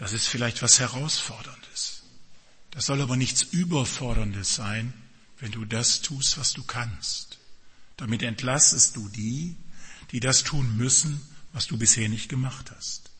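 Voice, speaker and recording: A man with a medium pitch and a warm tone speaks at a very slow pace, with ordinary pitch variation and long, frequent pauses. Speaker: pastor. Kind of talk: sermon. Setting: church with congregation and children present. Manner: direct, warm and earnest, addressing the congregation.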